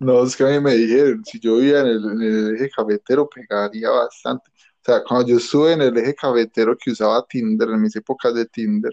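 A man in a normal speaking voice talks at a fairly quick pace with hardly any pauses, medium pitch and fairly even intonation. His loudness swings widely, and the sound is dry and close, with no echo. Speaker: podcast co-host. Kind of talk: casual chat.

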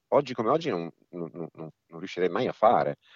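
This is a man speaking. His intonation is lively. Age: 50s. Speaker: illusionist and cabaret performer. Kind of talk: casual interview.

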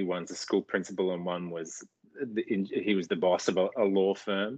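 A man with an Australian accent speaks at a moderate pace. Behind him the background is quiet. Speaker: actor. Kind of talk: interview.

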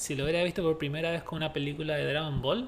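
A fairly high-pitched man with a Chilean accent. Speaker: podcast host. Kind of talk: casual chat.

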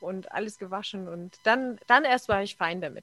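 A woman's bright, sharp, medium-pitched voice with ordinary pitch variation, a moderate pace and a dry, close sound with no echo. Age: 40s. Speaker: bus driver and blogger. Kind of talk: casual chat.

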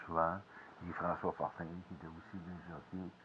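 A man's very deep, low-pitched voice. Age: 50s. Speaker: podcaster, former radio music worker. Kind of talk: casual monologue. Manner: halting, many hesitations.

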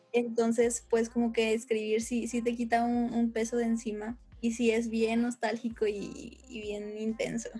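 A woman talks at a fairly slow pace in monotone, flat intonation, with hardly any pauses. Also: fairly high pitch for a woman. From Torreón, Coahuila, northern Mexico. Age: 20s. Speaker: musician and film student. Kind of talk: casual chat.

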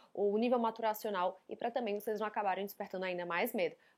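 The voice has an animated tone with ordinary pitch variation, in a very clean recording with a silent background. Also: woman. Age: 30s. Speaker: psychologist. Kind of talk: educational monologue.

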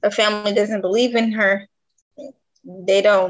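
A woman speaks with an American accent. Her pitch is medium and her intonation fairly even. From Detroit, Michigan. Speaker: author and clothing designer. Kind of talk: casual interview. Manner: halting.

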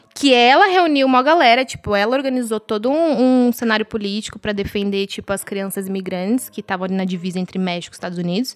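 The speaker talks at a very fast pace over noticeable background noise. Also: woman. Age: 20s. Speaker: fashion professional. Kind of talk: casual chat.

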